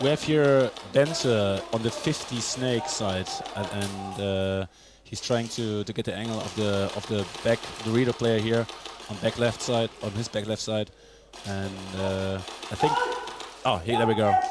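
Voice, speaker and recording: Over noticeable background noise, a man with a fairly low pitch speaks at a fairly slow pace, using ordinary pitch variation and long, frequent pauses. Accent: German. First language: German. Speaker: speedsoft player and guest commentator. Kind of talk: live commentary. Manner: halting.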